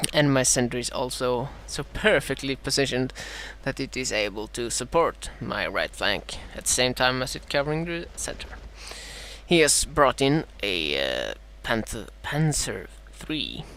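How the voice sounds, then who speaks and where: A man with a Swedish accent at a fairly slow pace, amid noticeable background noise. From Sweden. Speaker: gaming commentator. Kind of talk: live gameplay commentary. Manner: halting, many fillers.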